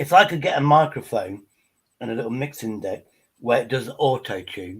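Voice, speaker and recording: A man's medium-pitched, somewhat breathy voice in an English accent, with lively intonation, big swings in loudness and a moderate pace. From England. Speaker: livestream panelist. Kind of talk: casual chat.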